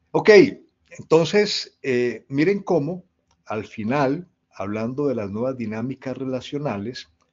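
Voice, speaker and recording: A man with a plain, everyday voice speaks at a medium pitch. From Colombia. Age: 60s. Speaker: leadership speaker. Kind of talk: talk to an online audience.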